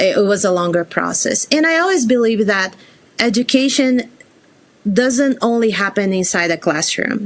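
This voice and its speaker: With a Brazilian accent, a woman talks fairly slowly at a fairly high pitch, her intonation lively, against noticeable background noise. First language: Portuguese. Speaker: career changer, former teacher. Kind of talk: interview.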